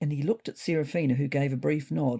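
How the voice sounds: A woman speaks low-pitched with a dark, mellow tone and a slightly husky edge. Her intonation is fairly even, with vocal fry. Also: fairly quick pace.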